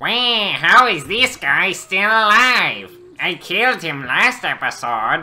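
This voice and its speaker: A put-on character voice uses a whiny tone with very wide pitch swings. The pace is fairly slow. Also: man, high pitch for a man. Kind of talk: in-character gaming commentary. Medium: role play. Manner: exaggerated, whiny, cackling.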